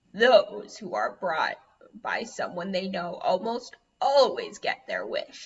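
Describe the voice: In a put-on character voice, a woman speaks at a fairly slow pace, high-pitched and gravelly.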